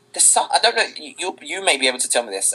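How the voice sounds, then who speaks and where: This is a man speaking. He has a British accent. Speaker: singer. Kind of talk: interview.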